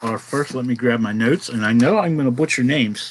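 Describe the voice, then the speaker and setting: A man with a Pittsburgh accent at a very fast pace with ordinary pitch variation. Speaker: comics talk show host. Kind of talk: casual chat.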